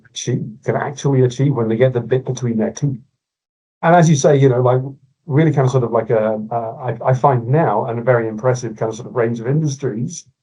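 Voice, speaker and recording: A man speaks in a medium pitch with a dark, mellow tone and a somewhat breathy quality. His pace is fairly quick and his intonation fairly even. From Scotland, Glasgow. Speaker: innovation consultant. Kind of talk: podcast interview.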